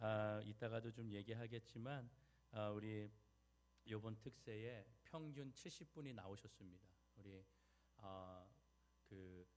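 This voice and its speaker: This man talks at a very slow pace with a fairly low pitch. His pitch varies in an ordinary way. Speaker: pastor. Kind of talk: sermon.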